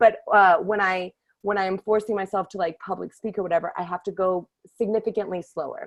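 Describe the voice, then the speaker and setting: A woman's medium-pitched voice comes through with a dry, close sound and no echo. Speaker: workshop leader for screenwriters. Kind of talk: online workshop talk. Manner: very fast; animated.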